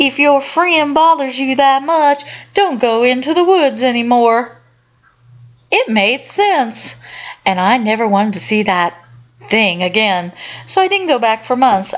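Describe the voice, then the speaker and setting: A woman's high voice at a moderate pace, with very wide pitch swings and very even loudness. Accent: Southern US. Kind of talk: horror story reading.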